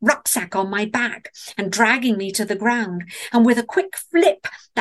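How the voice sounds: The reading voice sounds natural. Its pitch moves an ordinary amount.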